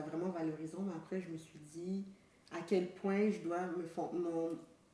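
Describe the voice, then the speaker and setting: A woman talks at a fairly slow pace and fairly low pitch in a monotone, flat way, with audible room echo around her. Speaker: podcast co-host. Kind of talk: casual chat.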